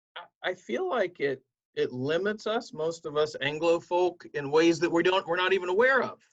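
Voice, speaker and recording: High-pitched male voice at a moderate pace, with ordinary pitch variation. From southern Ohio, Appalachian roots. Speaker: pastor. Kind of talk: interview.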